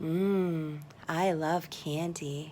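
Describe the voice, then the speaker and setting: In a put-on character voice, a woman speaks with a fairly low pitch and monotone, flat intonation over clear background noise. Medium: read story. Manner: playful, mischievous.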